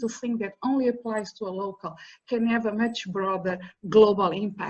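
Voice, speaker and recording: A somewhat breathy woman with a fairly high pitch and ordinary pitch variation speaks at a moderate pace over a quiet background. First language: an African language (neither English nor Portuguese). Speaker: professor. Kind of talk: panel talk.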